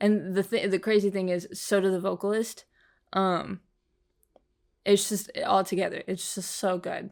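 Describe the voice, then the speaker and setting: A woman at a medium pitch and moderate pace, flat and monotone, with long, frequent pauses on a very clean recording with a silent background. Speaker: music reaction youtuber. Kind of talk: casual reaction commentary. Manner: halting, many fillers.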